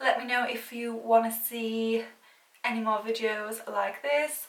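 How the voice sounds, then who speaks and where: Audible room echo surrounds a woman's voice. She speaks at a fairly slow pace and a fairly high pitch. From UK. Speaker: beauty YouTuber, former makeup counter worker. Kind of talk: makeup tutorial, chatty get-ready-with-me. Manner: casual, rambling.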